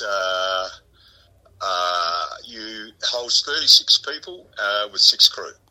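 A man speaks with an Australian accent. His pace is very slow. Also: long, frequent pauses, big swings in loudness. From South Australia. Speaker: country musician. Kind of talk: interview.

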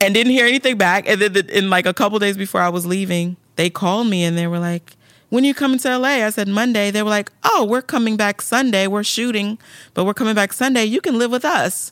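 A woman with a fairly high pitch and an animated tone, very fast pace, ordinary pitch variation, dry, close sound with no echo, and a very clean recording with a silent background. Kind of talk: casual interview chat. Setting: video podcast studio. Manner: animated, emotional.

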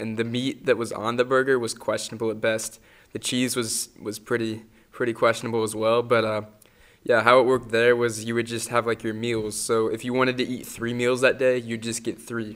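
A man with an American accent talks fairly quickly at a medium pitch, his intonation monotone and flat. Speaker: podcast host. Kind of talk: casual chat.

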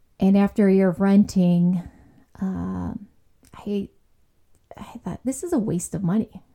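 A woman with an American accent speaks at a fairly slow pace with long, frequent pauses. Her medium-pitched voice is somewhat breathy, with a dark, mellow tone and fairly even intonation. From Chicago area, US Midwest. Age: 50s. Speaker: former flight attendant and legal professional. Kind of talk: casual interview chat.

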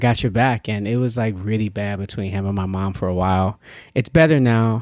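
An unremarkable speaking voice from a man with an American accent, fairly low pitch, moderate pace and ordinary pitch variation, in a very clean recording with a silent background. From Yonkers, New York. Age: 30s. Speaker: comedian. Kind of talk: casual chat.

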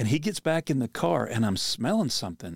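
In a very clean recording with a silent background, a man of medium pitch speaks at a moderate pace with vocal fry and very wide pitch swings. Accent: American. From Pennsylvania. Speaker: podcast host and outdoor minister. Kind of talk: casual chat.

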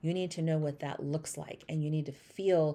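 A woman speaks at a moderate pace with a very deep, low pitch and a dark, mellow tone. The recording is very clean, with a silent background. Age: 40s. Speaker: med spa business mentor. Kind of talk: casual solo podcast talk.

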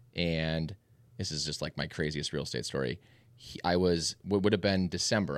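With an American accent, a man speaks at a fairly quick pace in a very deep, low voice with vocal fry. His pitch varies in an ordinary way, and the recording is very clean with a silent background. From Minnesota, Minneapolis suburbs. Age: 30s. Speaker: real estate agent and team leader. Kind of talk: casual chat.

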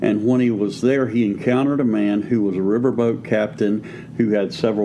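Moderate pace and fairly even intonation from a man at a medium pitch, noticeable background noise behind him. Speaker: pastor and podcast co-host. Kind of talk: preaching-style teaching conversation.

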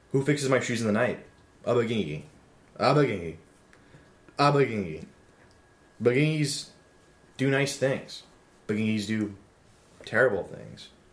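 A man's vocal fry at a moderate pace. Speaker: podcast host. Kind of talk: comedic banter.

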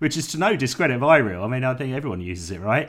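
A man's medium-pitched voice in a southern English accent, with very wide pitch swings. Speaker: jazz podcast host. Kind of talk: casual interview chat.

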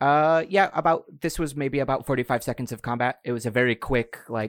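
This man has an unremarkable speaking voice at a medium pitch. He speaks at a moderate pace. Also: dry, close sound with no echo. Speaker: game master. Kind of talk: tabletop roleplaying game session, narrating and chatting.

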